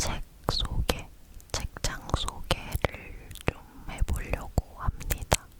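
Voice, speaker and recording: A woman whispers over noticeable background noise. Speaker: ASMR creator. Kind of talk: whispering ASMR chat about books and bookshelf. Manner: whispered, soft, chatty.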